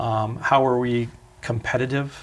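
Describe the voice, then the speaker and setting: This man's somewhat breathy, medium-pitched voice moves at a fairly slow pace with ordinary pitch variation. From northern Vermont. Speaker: restaurant franchise owner. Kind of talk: interview.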